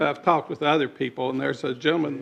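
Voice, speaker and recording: A man's fairly high pitch with vocal fry, at a fairly quick pace. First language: not English. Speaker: developer/applicant at planning meeting. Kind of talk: public hearing testimony.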